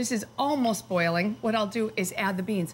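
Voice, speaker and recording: There is light background noise as a woman talks with vocal fry. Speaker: cooking teacher. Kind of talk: tutorial. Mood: cheerful, warm. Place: kitchen.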